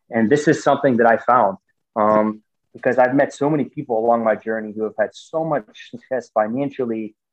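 A man with an American accent, a normal speaking voice, fairly even intonation and a fairly quick pace. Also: medium pitch for a man. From US, Pittsburgh, Pennsylvania. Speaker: football coach and author. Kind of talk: interview conversation. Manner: many filler words.

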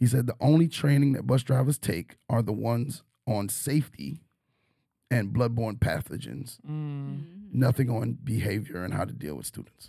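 This man speaks in an unremarkable speaking voice with an American accent. His pitch is medium, his intonation lively, and his pace moderate. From New York. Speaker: teacher and podcast host. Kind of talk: casual chat.

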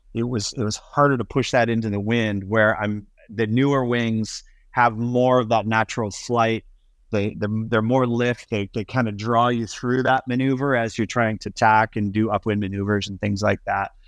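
The voice has an American accent and flat, monotone intonation. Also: man, medium pitch for a man, moderate pace, quiet background. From US Midwest and Florida. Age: 50s. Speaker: windsurf sail and wing designer. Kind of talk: casual interview. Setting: remote call from home.

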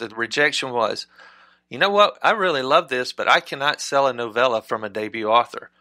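In a very clean recording with a silent background and a dry, close sound without echo, a man with a Southern US accent talks at a moderate pace in a bright, sharp tone with lively intonation. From Mississippi. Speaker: novelist and screenwriter. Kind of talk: interview.

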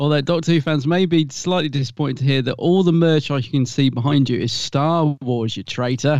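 A man talks with a British accent. His pace is fairly quick. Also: fairly high pitch for a man, ordinary pitch variation. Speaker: podcast co-host. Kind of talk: casual chat.

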